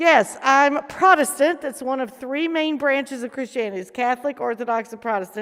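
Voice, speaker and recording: A woman's high-pitched voice with a Southern US accent, fairly quick and animated, with ordinary pitch variation and noticeable background noise. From US South. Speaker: protestant chaplain. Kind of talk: casual panel chat.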